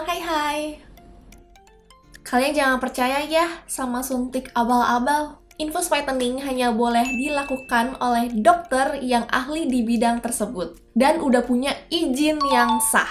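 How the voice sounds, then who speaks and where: Amid noticeable background noise, a woman with a high voice speaks in an upbeat tone at a fairly slow pace with ordinary pitch variation. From Indonesia. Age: 20s. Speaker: beauty vlogger. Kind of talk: casual talk to camera.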